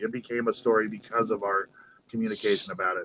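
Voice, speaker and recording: At a fairly quick pace, a man speaks with lively intonation and a bright, sharp tone. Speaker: novelist. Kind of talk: casual interview chat. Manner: quiet. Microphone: too quiet, turned up by host.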